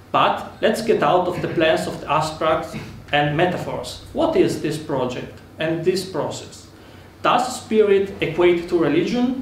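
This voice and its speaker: Speaking fairly slowly with an Italian accent and ordinary pitch variation, the voice carries audible room echo over noticeable background noise. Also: man, high pitch for a man. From Italy. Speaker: political speaker. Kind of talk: conference speech. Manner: formal.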